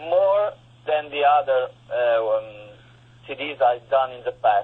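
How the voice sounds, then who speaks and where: A man with an Italian accent talks with lively intonation. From Italy. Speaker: guitarist and composer. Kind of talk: interview. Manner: halting.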